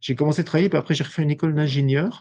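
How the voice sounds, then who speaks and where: A man talks with a dark, mellow tone. His voice is somewhat breathy. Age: 60s. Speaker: industrial company owner. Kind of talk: podcast interview. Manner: halting, many hesitations.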